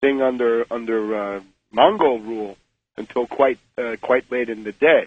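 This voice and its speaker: This man has an ordinary speaking voice, medium pitch and ordinary pitch variation, and he talks at a moderate pace. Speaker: author, political commentator. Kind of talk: radio interview answer.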